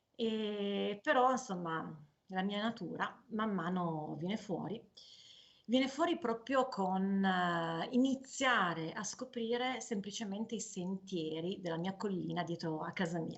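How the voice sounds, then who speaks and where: Fairly slow pace from a woman, medium pitch, ordinary pitch variation. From northern Italy, Piedmont (Canavese). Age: 40s. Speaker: cancer survivor, cyclist and author. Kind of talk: personal testimony. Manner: hesitant, with fillers.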